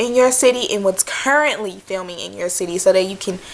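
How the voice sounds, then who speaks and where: A woman with an American accent speaks at a moderate pace, her intonation lively. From Michigan. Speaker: background extra. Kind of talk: casual talk to camera. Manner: rambling, chatty.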